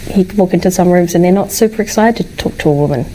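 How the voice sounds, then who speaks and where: In a New Zealand accent, a woman talks at a very fast pace with medium pitch and ordinary pitch variation. Noticeable background noise sits behind her. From New Zealand, Wellington. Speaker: tech sales professional. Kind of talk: casual chat.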